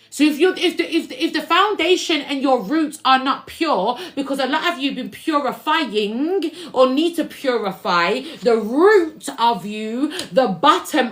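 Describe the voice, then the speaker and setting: Loud and animated, a woman speaks at high pitch with very wide pitch swings and a fairly slow pace over noticeable background noise. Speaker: spiritual reader and musician. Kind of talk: livestream tarot-style spiritual reading.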